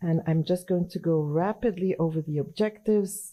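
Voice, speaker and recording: With a slight French accent, a woman talks in a dark, mellow tone at a fairly low pitch, her pitch varying in an ordinary way. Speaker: anesthesiology professor and journal editor. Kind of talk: conference presentation. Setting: conference session with audience.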